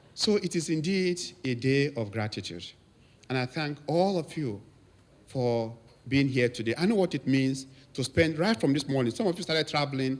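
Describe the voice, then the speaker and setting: In a Nigerian accent, a man talks at medium pitch with lively intonation. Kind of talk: anniversary speech to congregation.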